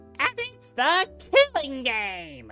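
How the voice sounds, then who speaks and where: High, put-on character voice over faint background music. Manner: loud, gleeful.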